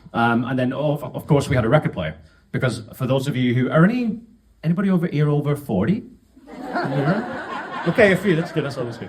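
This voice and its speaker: At a fairly quick pace, a man with a fairly high pitch swings very widely through his range over noticeable background noise. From northern England (Wigan). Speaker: podcast host. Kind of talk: storytelling talk to an audience. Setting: stage with audience. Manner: casual, joking.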